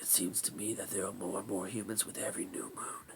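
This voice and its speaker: Whispering at a fairly quick pace, a man uses a put-on character voice that is raspy and husky. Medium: read story. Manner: weary, solemn.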